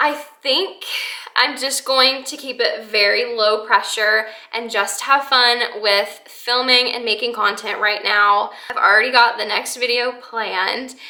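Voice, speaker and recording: Over noticeable background noise, a woman speaks slowly in a high voice with fairly even intonation. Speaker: lifestyle vlogger. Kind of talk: casual vlog monologue.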